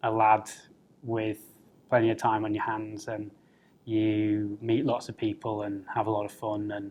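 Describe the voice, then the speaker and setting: A man's fairly low, monotone voice at a fairly slow pace, broken by long, frequent pauses. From North East England, Middlesbrough. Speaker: political candidate. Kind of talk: personal interview talk. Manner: hesitant, many fillers.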